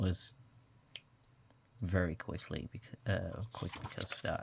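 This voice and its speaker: On a very clean recording with a silent background, a man with a Dutch accent speaks in a fairly low, somewhat breathy voice with fairly even intonation. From Netherlands. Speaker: journaling vlogger. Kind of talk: casual show-and-tell tutorial. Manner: many fillers, um and uh.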